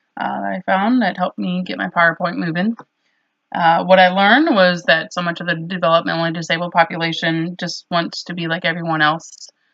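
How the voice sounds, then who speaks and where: A woman talks at a fairly quick pace. Her fairly low voice keeps a fairly even intonation. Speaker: nursing student. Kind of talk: recorded class reflection. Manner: hesitant, many fillers.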